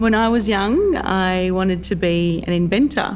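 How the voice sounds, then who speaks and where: Over noticeable background noise, a woman talks at a fairly low pitch with an Australian accent. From Australia, Geelong, Victoria. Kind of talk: documentary interview.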